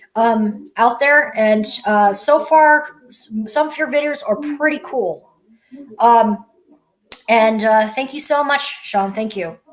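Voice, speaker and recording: A woman talks at a very slow pace. Her voice is fairly high, with ordinary pitch variation. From United States. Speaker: vlogger. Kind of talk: casual video message. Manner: halting, many fillers.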